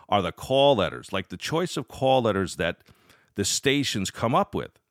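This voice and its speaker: Vocal fry runs through a man's fairly quick speech, captured in a very clean recording with a silent background. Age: 40s. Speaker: podcast host, amateur radio operator. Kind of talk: solo podcast monologue. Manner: casual, with frequent fillers and restarts.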